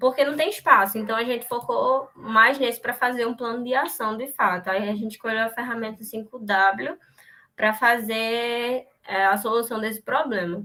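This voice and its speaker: Bright and sharp in tone, a woman speaks with a fairly high pitch. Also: fairly even intonation. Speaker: university student presenting. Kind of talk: class seminar presentation. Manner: fast.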